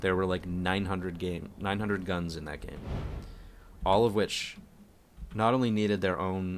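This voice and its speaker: A man's very deep, low voice at a moderate pace, with fairly even intonation, long, frequent pauses and audible room echo. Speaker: video game streamer. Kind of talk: live game stream commentary. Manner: halting, repeats words.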